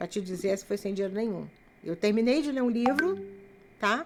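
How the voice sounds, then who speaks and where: A woman with lively intonation at a moderate pace. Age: 60s. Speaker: writer and missionary. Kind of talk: casual chat.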